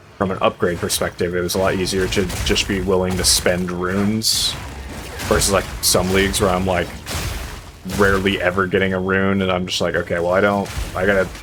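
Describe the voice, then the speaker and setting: There is noticeable background noise behind a man speaking at a fairly quick pace. His pitch is very deep and low. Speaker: gaming YouTuber and streamer. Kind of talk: gameplay commentary. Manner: loud; casual, with many fillers and repeats.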